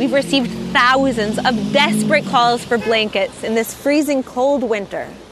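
Noticeable background noise behind a high-pitched woman at a moderate pace with ordinary pitch variation. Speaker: charity president. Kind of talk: charity appeal.

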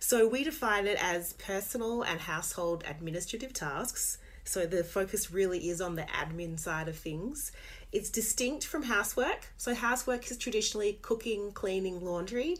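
A normal speaking voice moves at a moderate pace with lively intonation. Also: woman, medium pitch for a woman. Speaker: author and podcaster. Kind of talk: casual interview chat.

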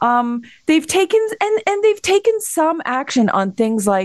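A woman with a Canadian accent, her pitch swinging very widely at a fairly slow pace. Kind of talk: radio interview.

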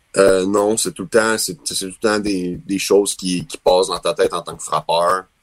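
This man's loudness swings widely as he talks at a moderate pace with hardly any pauses. The sound is dry and close, with no echo. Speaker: professional baseball player. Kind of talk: interview.

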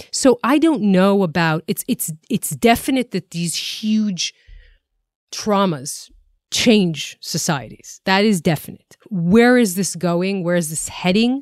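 A woman with an Israeli accent talks at a very slow pace and a medium pitch, her intonation lively. The recording is very clean, with a silent background and a dry, close sound with no echo. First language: Hebrew. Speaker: podcast co-host and TV journalist. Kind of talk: casual current-affairs discussion. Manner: frequent fillers, somewhat halting.

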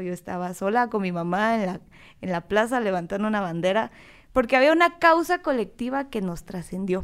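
Very clean audio with no background sound, carrying a female voice whose pitch moves in an ordinary way. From Guatemala. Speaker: political scientist. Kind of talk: casual chat.

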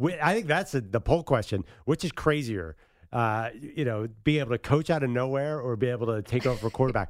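A man with an American accent uses a normal speaking voice at a medium pitch, with lively intonation and a fairly quick pace, on a very clean recording with a silent background. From Philadelphia. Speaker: sports radio co-host. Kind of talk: casual sports talk radio.

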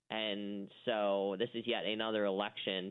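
With a plain, everyday voice, a man speaks at a fairly low pitch with fairly even intonation. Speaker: media watchdog editor, guest. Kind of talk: radio interview, conversational political commentary.

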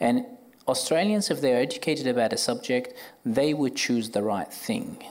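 Over audible room echo, a man with an Arabic accent talks at a moderate pace in a fairly high voice, with very wide pitch swings and very even loudness. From Iraq, Baghdad. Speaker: orthopaedic surgeon. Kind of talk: live panel discussion. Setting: stage with audience.

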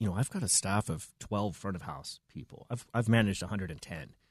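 In a plain, everyday voice, a man with a Canadian accent talks at a fairly low pitch with ordinary pitch variation, the sound dry and close with no echo over a quiet background. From Canada (Vancouver). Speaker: restaurant manager. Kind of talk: interview.

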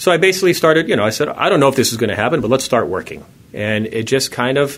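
Here is a man speaking. His intonation is lively. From California, Palo Alto. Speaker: software startup founder. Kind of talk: radio interview. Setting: studio.

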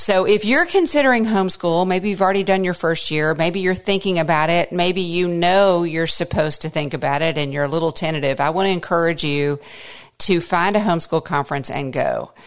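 A plain, everyday voice moves at a fairly quick pace with ordinary pitch variation over a quiet background. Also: woman, fairly low pitch for a woman. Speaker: podcast host and homeschool mother. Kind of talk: conference talk retold as podcast.

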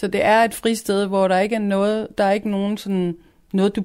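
At a medium pitch, a woman talks at a moderate speed. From Denmark, provincial town. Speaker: youth culture house staff member. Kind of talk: radio interview.

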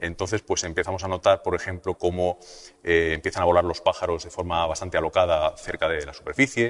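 The recording is dry and close, with no echo. A man talks at a fairly quick pace. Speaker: physicist and weather presenter. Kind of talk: interview explanation.

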